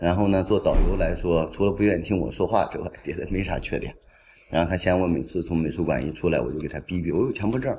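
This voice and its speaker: A man with a very deep, low pitch and vocal fry talks at a very fast pace, using ordinary pitch variation. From northern Jiangsu, Xuzhou area. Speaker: curator. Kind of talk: casual chat. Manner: animated.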